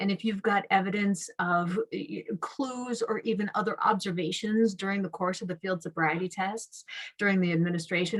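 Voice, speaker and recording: A woman speaks at a medium pitch with an American accent. Her voice is somewhat breathy, with ordinary pitch variation. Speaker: prosecutor. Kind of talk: webinar presentation. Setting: online webinar.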